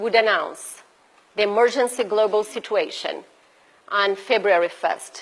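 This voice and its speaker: In a Brazilian Portuguese accent, a woman speaks at a fairly high pitch. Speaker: bioethics researcher and activist. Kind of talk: conference presentation. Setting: event audience at embassy. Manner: unscripted, halting.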